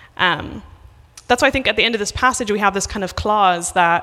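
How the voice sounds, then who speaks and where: A woman with an Irish accent speaks at a medium pitch, her bright, sharp tone carrying some vocal fry and ordinary pitch variation. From west of Ireland. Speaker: missionary preacher. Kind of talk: sermon. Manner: casual with many fillers.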